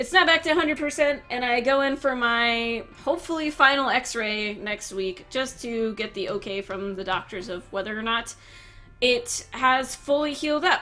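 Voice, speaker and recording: Against noticeable background noise, a woman speaks in a raised, projected voice at a moderate pace. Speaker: gaming YouTuber. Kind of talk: casual vlog talk.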